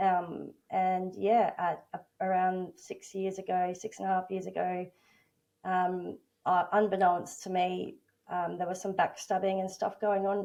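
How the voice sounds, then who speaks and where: A woman talks at a fairly slow pace with a medium pitch. Her tone is dark and mellow, her intonation monotone and flat. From Australia. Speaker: workplace bullying advocate and coach. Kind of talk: interview testimony. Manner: halting, many fillers.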